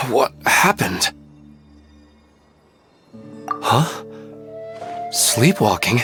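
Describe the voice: The speaker uses a put-on character voice with a bright, sharp tone and a husky, rough edge. Delivery is very slow, pitch swings are big, and faint music plays in the background. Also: man, medium pitch for a man.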